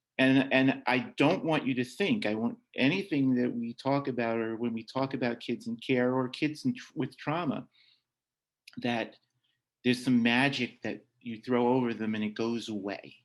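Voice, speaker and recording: A man with a plain, everyday voice speaks at a medium pitch and a moderate pace. His pitch variation is ordinary, and the background is quiet. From Long Island, New York. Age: 60s. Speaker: adoptive parent and foster care alumnus speaker. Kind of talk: workshop talk and Q&A. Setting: video call.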